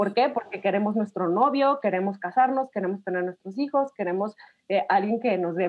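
Speaking at a fairly quick pace, a woman uses an unremarkable speaking voice at a medium pitch with ordinary pitch variation. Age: 30s. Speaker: podcast guest. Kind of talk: casual chat.

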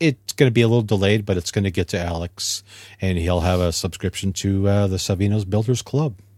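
A man speaks at a fairly quick pace with a Canadian accent, his pitch fairly low with ordinary variation. It's a plain, everyday voice on a very clean recording with a silent background. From Ontario, Canada. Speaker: model car hobbyist guest. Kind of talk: casual chat.

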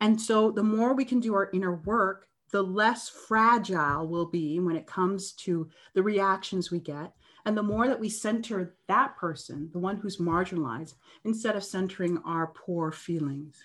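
In a Canadian accent and an ordinary speaking voice, the speaker goes at a moderate pace with ordinary pitch variation over a quiet background. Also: woman, medium pitch for a woman. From Canada. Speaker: anti-bias facilitator. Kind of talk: interview.

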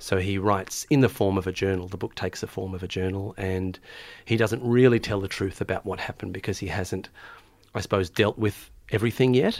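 In an Australian accent, a man speaks at fairly low pitch with fairly even intonation. The recording is very clean, with a silent background. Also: fairly quick pace. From Melbourne, Australia. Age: 30s. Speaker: novelist and teacher. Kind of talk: interview. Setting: studio.

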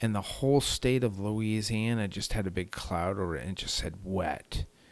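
In a very clean recording with a silent background, a man speaks with a fairly low pitch and ordinary pitch variation. He has an unremarkable speaking voice. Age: 40s. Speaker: long-distance cycle tourist. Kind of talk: casual chat.

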